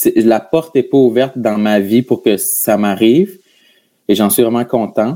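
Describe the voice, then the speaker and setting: With a Gaspésie accent, a man talks at a fairly slow pace in a medium-pitched voice that has a dark, mellow tone and ordinary pitch variation. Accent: Quebec French, Gaspésie. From Quebec, Gaspésie. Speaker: comedian and podcaster. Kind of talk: casual interview chat. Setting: video call.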